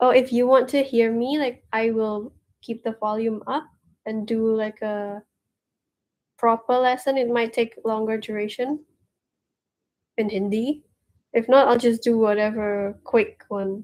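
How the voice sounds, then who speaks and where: A woman speaks fairly slowly with a fairly high pitch and monotone, flat intonation. Long pauses come often. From Indonesia. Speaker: streamer learning Hindi. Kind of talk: casual chat. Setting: live stream.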